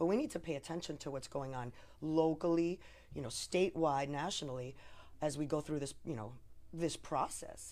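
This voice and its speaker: Her pitch very deep and low, a woman talks at a fairly quick pace with ordinary pitch variation. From New Jersey. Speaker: lawyer. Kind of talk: casual political discussion.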